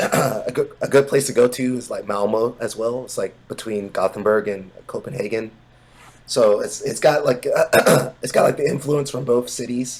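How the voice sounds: Putting on a character voice, a man speaks hoarsely at a medium pitch and a moderate pace.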